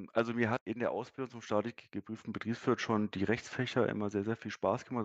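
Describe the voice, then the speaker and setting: A man's fairly low voice at a fairly quick pace, with fairly even intonation, a dry, close sound with no echo, and a quiet background. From Berlin, Germany. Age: 30s. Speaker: sales manager and distance-learning graduate. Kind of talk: interview. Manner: hesitant, many fillers.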